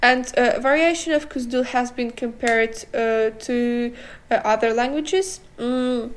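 A woman with a non-native accent talks at a fairly slow pace and high pitch, with fairly even intonation. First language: not English. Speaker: podcast co-host. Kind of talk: casual chat. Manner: halting.

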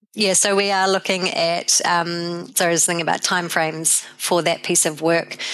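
A woman with a New Zealand accent speaks at a fairly low pitch in a monotone, flat way. Her loudness stays very even, with hardly any pauses. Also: moderate pace. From New Zealand, South Canterbury. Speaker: animal health scientist. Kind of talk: interview.

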